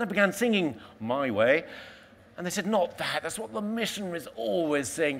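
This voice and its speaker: A man speaks with very wide pitch swings. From London, England. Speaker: explorer. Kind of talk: motivational talk. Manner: animated.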